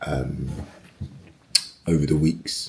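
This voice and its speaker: Noticeable background noise sits behind this recording. A man speaks at a very deep, low pitch with monotone, flat intonation. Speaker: personal trainer. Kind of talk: fitness vlog. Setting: home garage gym. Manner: casual.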